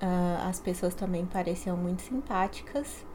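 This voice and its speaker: Speaking at a fairly slow pace, a woman uses a medium pitch and a dark, mellow tone. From Brazil, São Paulo. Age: 30s. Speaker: graduate student. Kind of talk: interview.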